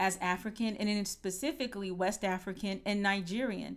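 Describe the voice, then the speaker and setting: A woman speaks in an ordinary speaking voice with an American accent, her pitch medium. Her pace is moderate and her intonation fairly even. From United States. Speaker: podcast host, former professor. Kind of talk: podcast conversation.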